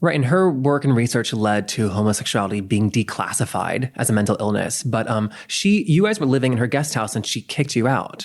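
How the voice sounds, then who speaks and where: Speaking in a plain, everyday voice at a medium pitch, a man moves at a fairly quick pace with lively intonation and hardly any pauses. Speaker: podcast host. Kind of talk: interview question.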